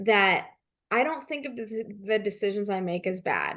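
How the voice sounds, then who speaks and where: A woman speaks at a fairly high pitch with lively intonation, in an unremarkable speaking voice. The background is quiet. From Canada. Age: 40s. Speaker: leadership consultant and author. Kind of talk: interview.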